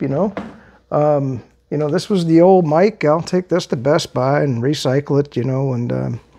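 A man with a dark, mellow tone talks at a moderate pace, using ordinary pitch variation. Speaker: vlogger. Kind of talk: casual vlog chat. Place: home room. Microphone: lapel.

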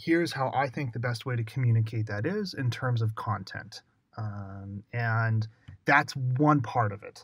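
On a very clean recording with a silent background, a man with a Western US accent speaks at a fairly slow pace and medium pitch, somewhat breathy, with ordinary pitch variation. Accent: American, Western US. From US Southwest (Arizona). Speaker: UX writer. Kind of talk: casual interview.

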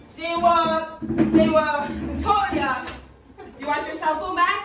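Over music in the background, a woman speaks in a raised, projected voice with audible room echo. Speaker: teacher. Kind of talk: classroom lesson. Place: classroom. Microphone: camera far.

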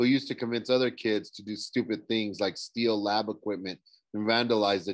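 Over a quiet background, someone is reading aloud in a natural voice with fairly even intonation.

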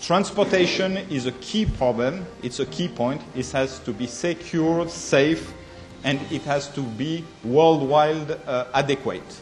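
Clear music plays behind a man who speaks with a French accent at a fairly slow pace. His voice is fairly high, with ordinary pitch variation. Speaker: conference speaker. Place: meeting room. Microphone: podium.

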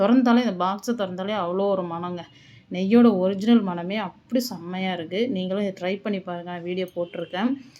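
Her tone dark and mellow, a woman speaks at a medium pitch with fairly even intonation. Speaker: cooking vlogger. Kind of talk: home vlog narration. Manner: casual.

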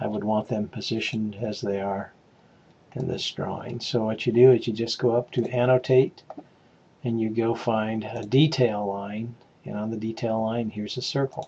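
Over light background noise, a man speaks at a moderate pace in monotone, flat intonation. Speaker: instructor. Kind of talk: tutorial. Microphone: webcam.

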